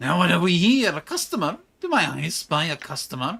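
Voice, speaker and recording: This put-on character voice is nasal and sits at a middle pitch. It moves at a fairly quick pace. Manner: braying, shrewish.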